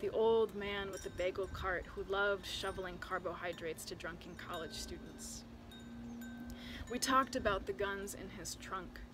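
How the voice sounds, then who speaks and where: A woman talks at a moderate pace in an American accent. Music plays in the background. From Chicago area. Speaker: poet. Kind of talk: poetry reading.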